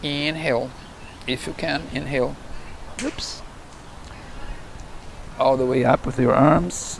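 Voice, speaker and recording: Noticeable background noise sits behind a man's voice. He speaks at a fairly slow pace with long, frequent pauses. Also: medium pitch for a man. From Brazil. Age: 60s. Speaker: yoga teacher. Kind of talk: guided yoga instruction. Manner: calm, slow.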